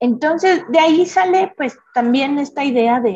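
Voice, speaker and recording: In a dark, mellow tone, a woman speaks fairly slowly with very wide pitch swings. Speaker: designer and creativity teacher. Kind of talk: casual interview chat.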